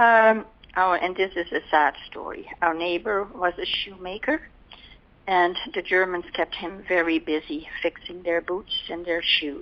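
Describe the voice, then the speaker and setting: With a medium pitch and ordinary pitch variation, this woman talks fairly slowly. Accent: Dutch. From Netherlands. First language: Dutch. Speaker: war survivor. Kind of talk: oral history interview answer.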